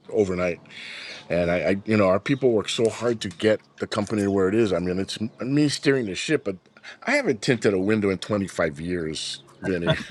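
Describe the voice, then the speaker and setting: This man has a Hawaiian accent and a fairly low pitch. He talks at a fairly quick pace. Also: ordinary pitch variation. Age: 60s. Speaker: business founder. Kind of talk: interview.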